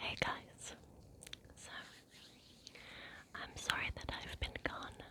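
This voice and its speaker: A woman whispers in an English accent at a very slow pace, with long, frequent pauses. Her loudness swings widely, and there is noticeable background noise. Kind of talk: ASMR ramble. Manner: whispered.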